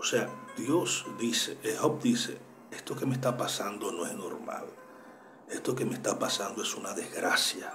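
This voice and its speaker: A soft-spoken man talks at a fairly slow pace, with audible room echo and music in the background. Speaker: Bible teacher. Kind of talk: Bible study talk. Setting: at home, early morning.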